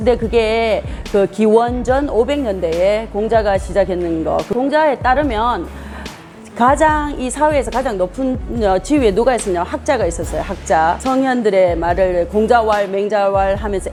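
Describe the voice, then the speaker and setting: Music plays in the background as a woman with a fairly high pitch speaks with lively intonation. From Gyeongsang region, South Korea. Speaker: education professor. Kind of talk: interview answer. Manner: clear, emphatic.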